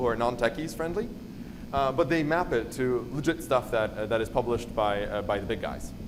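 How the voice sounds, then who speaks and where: A man's voice carries audible room echo. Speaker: conference speaker on cybersecurity. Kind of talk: conference talk. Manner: fast.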